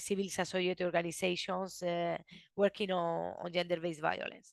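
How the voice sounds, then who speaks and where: A woman with a non-native accent, dry and close with no echo, against a quiet background. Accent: noticeable foreign accent in English. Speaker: researcher presenting study. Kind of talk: webinar presentation. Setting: video call webinar. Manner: halting, many restarts.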